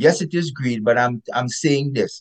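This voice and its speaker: A man with a Caribbean accent speaks at a moderate pace in a fairly high, somewhat breathy voice. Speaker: epidemiologist author. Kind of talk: interview. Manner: emphatic.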